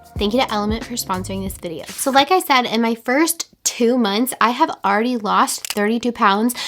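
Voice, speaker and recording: Music plays in the background as a woman talks at a fairly quick pace and fairly high pitch, with ordinary pitch variation and hardly any pauses. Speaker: lifestyle vlogger. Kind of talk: casual vlog talk to camera.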